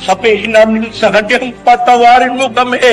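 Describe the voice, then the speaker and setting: A man speaks at a moderate pace and an extremely high pitch, with music in the background. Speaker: church leader, preacher. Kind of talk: sermon, religious preaching. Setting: old archival recording. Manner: forceful, rhetorical.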